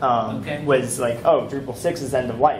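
A man at a moderate pace, fairly even intonation, with noticeable background noise. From US, Boston. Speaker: conference speaker, web developer. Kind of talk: technical talk. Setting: stage with audience. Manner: halting.

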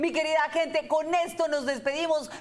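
A woman at a high pitch, moderate pace and fairly even intonation, over faint background noise

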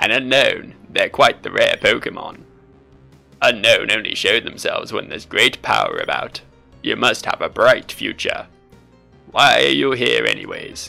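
A man's put-on character voice at a moderate pace, with faint music in the background.

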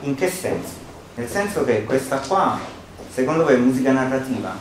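A man talks at a moderate pace with lively intonation and medium pitch. Audible room echo and light background noise surround him. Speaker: musicologist; presenter. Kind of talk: seminar talk. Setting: seminar room with live audience. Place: hall.

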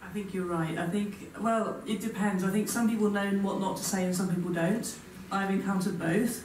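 A woman speaks in a flat monotone at very even loudness, with audible room echo and light background noise. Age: 40s. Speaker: physics professor. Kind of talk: panel discussion. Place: hall. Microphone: camera far.

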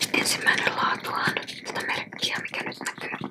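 A woman whispering at a very slow pace in a relaxed tone. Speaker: ASMR creator. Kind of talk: ASMR tea collection showcase. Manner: whispered, close-up, relaxed. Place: home room. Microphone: studio mic.

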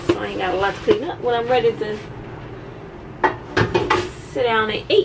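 With clear background noise behind her, a woman talks at a moderate pace in a fairly high voice with vocal fry and ordinary pitch variation.

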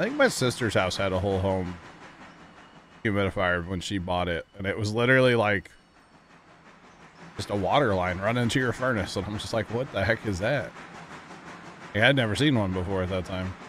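There is light background noise as a man speaks at a fairly low pitch in a dry sound with no echo. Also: ordinary pitch variation, fairly quick pace. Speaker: livestreamer. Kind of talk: casual livestream chat. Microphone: headset.

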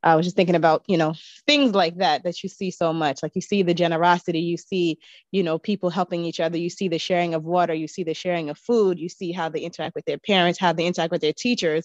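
A woman talks at a very fast pace with a fairly low pitch and fairly even intonation. The sound is dry with no echo, and the background is quiet. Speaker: guest. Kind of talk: casual chat. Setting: video call. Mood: warm, reflective reminiscing. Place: home room. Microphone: video call.

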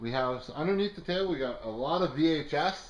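The man's pitch is fairly high, with ordinary variation. His pace is moderate. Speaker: auctioneer. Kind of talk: casual product walkthrough commentary. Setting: in-person at the auction house, walking around the items. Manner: casual and jokey, with some filler words. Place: shop. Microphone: phone near.

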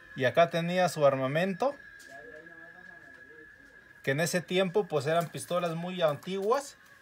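Noticeable background noise runs under a man who talks fairly slowly, his pitch varying in an ordinary way. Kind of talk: casual vlog chat. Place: home room. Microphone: phone near.

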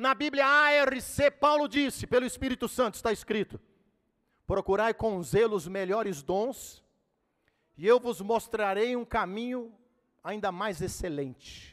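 A man with a high pitch and lively intonation speaks at a fairly slow pace, pausing long and often. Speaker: pastor. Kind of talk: sermon. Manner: animated.

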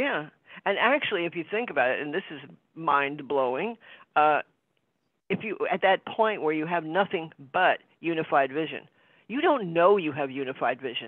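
The speech comes at a moderate pace with long, frequent pauses. The sound is dry with no echo, over a quiet background. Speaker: spiritual study group participant. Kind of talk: casual group discussion. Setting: video call. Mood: warm, reflective, enthusiastic. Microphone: video call.

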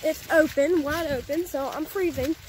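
Over light background noise, the speech comes at a moderate pace with a dry sound and no echo. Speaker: family vlogger filming. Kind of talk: casual vlog chat. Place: forest. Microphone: phone near.

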